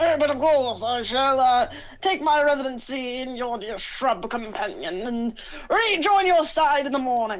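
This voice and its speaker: A woman puts on a high-pitched, strained character voice at a moderate pace, with light background noise behind her. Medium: actual play. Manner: flowery, formal.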